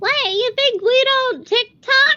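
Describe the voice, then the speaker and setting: Raised and projected, a woman's put-on character voice is squeaky and extremely high. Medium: actual play. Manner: casual slangy chatter.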